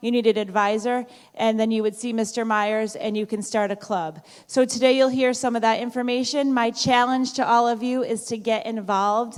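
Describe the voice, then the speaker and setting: A woman's fairly high voice at a moderate pace, fairly even in intonation, in a very clean recording with a silent background. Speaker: high school principal. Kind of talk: school assembly speech. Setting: auditorium with student audience. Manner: loud.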